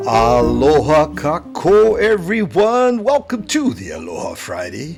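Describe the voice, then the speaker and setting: Over background music, a man talks at a fairly slow pace. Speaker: podcast host. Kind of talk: podcast interview host.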